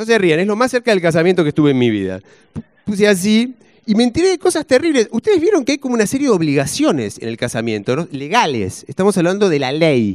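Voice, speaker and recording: A man with a Rioplatense accent, high-pitched and very fast, with very wide pitch swings against a quiet background. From Argentina. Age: 40s. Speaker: stand-up comedian. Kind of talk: stand-up comedy set with audience banter. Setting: stage with audience. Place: stage. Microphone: handheld.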